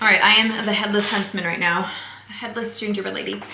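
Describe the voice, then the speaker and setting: A woman talks at a fairly quick pace with ordinary pitch variation. Audible room echo and noticeable background noise surround her voice. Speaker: DIY thrift crafting YouTuber. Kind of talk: casual tutorial vlog. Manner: fast; animated.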